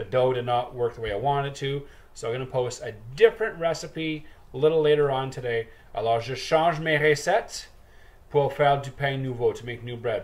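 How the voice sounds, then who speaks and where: With ordinary pitch movement, a man talks fairly quickly in a somewhat breathy voice. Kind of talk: tutorial. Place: kitchen. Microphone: webcam.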